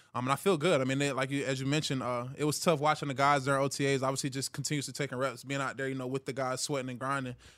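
A man's medium-pitched voice with an American accent, monotone and flat, at a very fast pace with hardly any pauses, on a very clean recording with a silent background. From Georgia, US (Hiram, near Atlanta). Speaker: pro football player. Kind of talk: casual interview.

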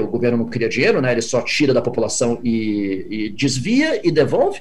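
Amid audible room echo and noticeable background noise, a man talks at a fairly quick pace with very wide pitch swings. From Brazil. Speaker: venture capital investor. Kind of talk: interview.

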